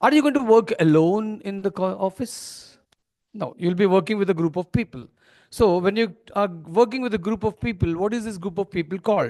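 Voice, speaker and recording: A high-pitched man with an Indian accent and ordinary pitch variation. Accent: Indian English, Telugu-Marathi. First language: Telugu. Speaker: corporate trainer. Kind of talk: training seminar. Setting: seminar hall with audience. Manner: interactive, asks audience questions.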